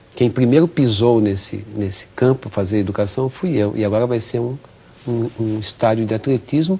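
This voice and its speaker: His voice is somewhat breathy, with a dark, mellow tone. The man talks at a moderate pace. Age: 60s. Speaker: physical education professor. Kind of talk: interview.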